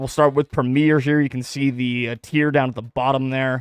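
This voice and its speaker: Music plays behind fairly even intonation, and the sound is dry and close with no echo. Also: man. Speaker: esports podcast host. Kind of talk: live-streamed podcast monologue. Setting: home, streamed live on Twitch. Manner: loud.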